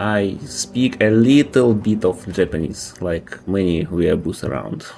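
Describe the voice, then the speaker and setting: A man with a Russian accent speaks at a fairly slow pace in a fairly low pitch. Noticeable background noise runs behind him. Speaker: video game streamer. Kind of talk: gameplay live stream commentary. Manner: casual, thinking aloud.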